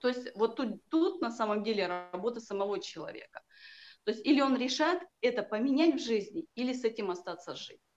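A woman's fairly high voice, with very wide pitch swings and big swings in loudness. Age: 40s. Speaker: healer and coach. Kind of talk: casual interview.

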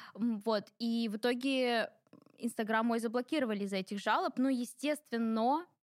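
A woman speaks in an unremarkable speaking voice, fairly high in pitch with fairly even intonation. The sound is dry and close, with no echo. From Ingushetia (North Caucasus). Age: 20s. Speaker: blogger and personal brand expert. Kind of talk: interview. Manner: casual.

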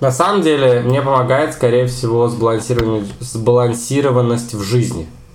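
This man's voice sits at medium pitch with ordinary pitch variation. Noticeable background noise is present. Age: 20s. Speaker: history teacher and podcast co-host. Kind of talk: casual chat. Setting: home kitchen.

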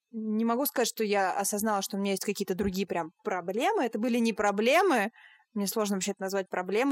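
A woman talks at a very fast pace with a fairly high pitch and ordinary pitch variation. The sound is dry and close, with no echo. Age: 20s. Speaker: podcast host, German teacher. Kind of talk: casual interview chat. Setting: remote call.

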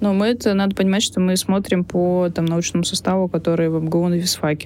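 A woman's fairly low-pitched voice, dark and mellow in tone, at a very fast pace with fairly even intonation. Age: 30s. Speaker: iOS developer. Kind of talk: casual chat.

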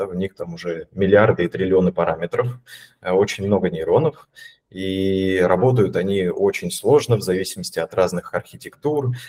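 In a dry, close sound with no echo, a man with a fairly low pitch and a dark, mellow tone talks at a moderate pace with ordinary pitch variation. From Russia, Voronezh. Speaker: data scientist, AI team lead. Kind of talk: casual interview.

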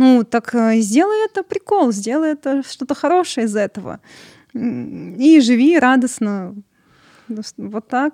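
A woman speaks very slowly at a high pitch, in a dark, mellow tone with lively intonation. The sound is dry and close, with no echo. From Russia. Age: 20s. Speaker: voice-over hobbyist with albinism. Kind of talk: casual chat.

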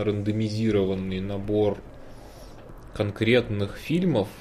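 A quiet, somewhat breathy male voice, fairly low in pitch, with fairly even intonation at a very slow pace. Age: 30s. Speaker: podcast co-host. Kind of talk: casual chat. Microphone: quiet microphone.

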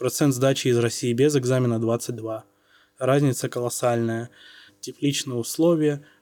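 A man with a dark, mellow tone speaks at a medium pitch, fairly slowly and with fairly even intonation. Long, frequent pauses fill a very clean recording with a silent background. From Saint Petersburg, Russia. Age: 20s. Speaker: doctor. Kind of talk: casual interview.

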